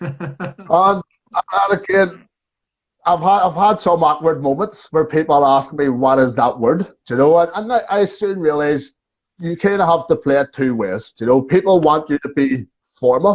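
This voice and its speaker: A fairly high-pitched man's voice at a moderate pace, with lively intonation over a quiet background. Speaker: tour guide. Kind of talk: casual chat. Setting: video call. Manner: talkative.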